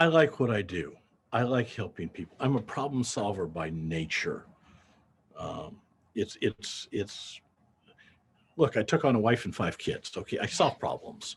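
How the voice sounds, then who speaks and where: A man speaks fairly slowly at a medium pitch, his pitch swinging very widely. He leaves long, frequent pauses. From US Midwest, Davenport, Iowa. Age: 70s. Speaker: accountant and payroll business owner. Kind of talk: interview. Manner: halting, with repeated words.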